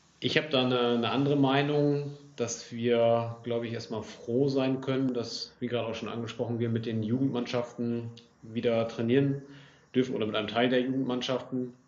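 Amid noticeable background noise and audible room echo, a man speaks at a fairly quick pace in a medium-pitched, monotone voice with flat intonation. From northwest Germany, Lower Saxony (Oldenburg area). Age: 20s. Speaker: amateur football club official. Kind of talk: casual interview.

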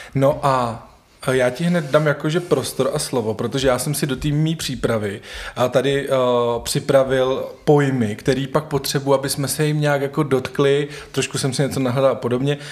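Noticeable background noise surrounds a man speaking at a moderate pace. His pitch is fairly high and his intonation fairly even. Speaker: podcast host. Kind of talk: casual interview conversation. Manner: stumbling, filler-heavy.

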